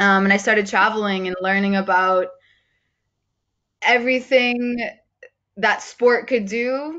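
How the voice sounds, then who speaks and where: A woman with an American accent, medium pitch, fairly even intonation and a moderate pace. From United States. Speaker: sport-for-development coach. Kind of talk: online training session introduction. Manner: loud.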